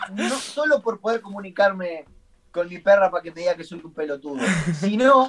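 A man speaks at a high pitch. His loudness swings widely. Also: moderate pace. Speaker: language student and teacher. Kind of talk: casual chat. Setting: video call. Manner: halting.

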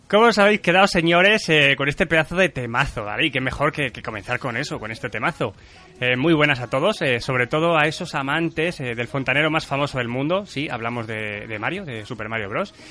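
Fairly quick, fairly high-pitched male speech with lively intonation and hardly any pauses, over noticeable background noise. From central Spain. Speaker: podcast host. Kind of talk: casual chat. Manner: animated.

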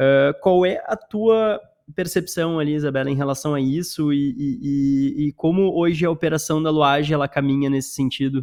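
A man's fairly high voice with a Gaúcho Brazilian accent, ordinary pitch variation and a moderate pace. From Porto Alegre, Brazil. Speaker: podcast host. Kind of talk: casual interview chat.

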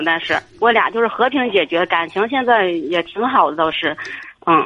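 Here a woman talks at a moderate pace. Her medium-pitched voice has lively intonation. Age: 30s. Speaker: caller to advice radio show. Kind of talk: call-in advice conversation. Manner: hesitant.

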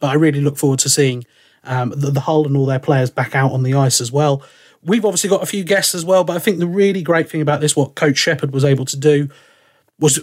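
With an English accent, a man talks at a very fast pace. His pitch is fairly high, with ordinary variation. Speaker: ice hockey commentator and podcast host. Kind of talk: casual chat. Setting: remote call.

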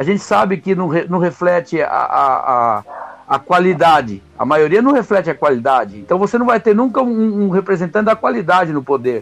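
Pitched high, a man talks at a moderate pace, his voice making very wide pitch swings. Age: 50s. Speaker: podcast panelist. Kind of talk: casual debate. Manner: halting, many repetitions.

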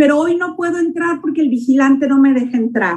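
Fairly quick speech from a woman, high in pitch. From Mexico, Nayarit. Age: 60s. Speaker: network marketing distributor. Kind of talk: testimony.

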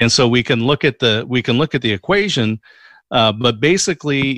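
A man with a plain, everyday voice talks at a moderate pace and medium pitch with lively intonation, heard on a very clean recording with a silent background and a dry, close sound with no echo. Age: 50s. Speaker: podcast guest. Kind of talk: interview.

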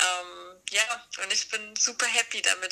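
Noticeable background noise is present. Over it, a woman talks fairly slowly. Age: 30s. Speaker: designer and author. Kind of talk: casual chat.

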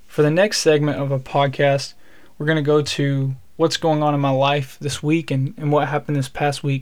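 Here is a man with a Southern US accent and a fairly high pitch. His intonation is monotone and flat, at a moderate pace. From Alabama. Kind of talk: solo devotional podcast talk.

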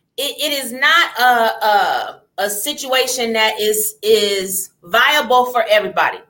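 Ordinary pitch variation in an unremarkable speaking voice. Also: woman. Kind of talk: casual chat.

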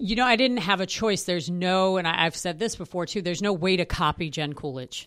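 With an American accent, a normal speaking voice runs at a fairly quick pace with ordinary pitch variation and hardly any pauses. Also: woman, fairly low pitch for a woman. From New York City. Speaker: Broadway actress and singer. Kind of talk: casual interview.

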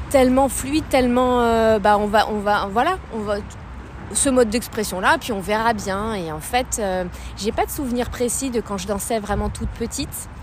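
Noticeable background noise behind a woman's fairly high voice with ordinary pitch variation. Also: moderate pace. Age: young. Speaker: contemporary dancer and philosopher. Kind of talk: casual chat. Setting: outdoors. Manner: halting.

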